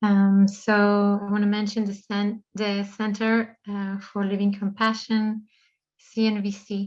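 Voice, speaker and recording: A woman's medium-pitched voice, fairly slow and flat in a monotone, against a quiet background. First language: not English. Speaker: online event host. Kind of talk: event opening remarks. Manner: halting, many fillers.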